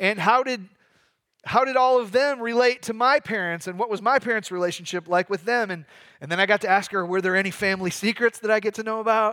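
Raised and projected, a man's high, bright, sharp voice moves at a very fast pace in an American accent, with ordinary pitch variation, on a very clean recording with a silent background. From Michigan. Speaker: pastor. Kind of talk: sermon.

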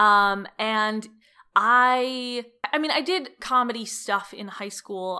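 Bright, sharp female tone in an American accent. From Cleveland, Ohio, US Midwest. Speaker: comedian and TV writer. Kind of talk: interview. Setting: at home, living room floor.

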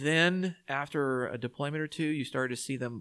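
A man with a Texan accent speaks with ordinary pitch variation. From Texas, San Antonio. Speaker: war veteran. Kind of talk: casual chat.

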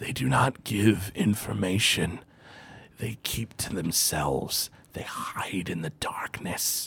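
A man whispers. He uses a put-on character voice. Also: fairly slow pace. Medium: actual play.

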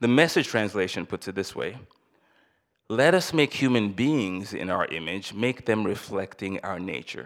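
In a very clean recording with a silent background, a man with an ordinary speaking voice talks at a moderate pace, his fairly low pitch carried by lively intonation. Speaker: church elder. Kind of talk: sermon. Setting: church.

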